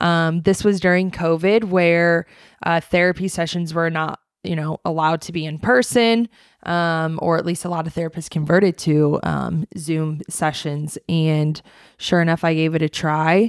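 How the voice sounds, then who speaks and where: In a very clean recording with a silent background and a dry, close sound without echo, a woman with an ordinary speaking voice talks at a moderate pace and a fairly low pitch, with fairly even intonation. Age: 30s. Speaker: podcast co-host. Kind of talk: casual chat.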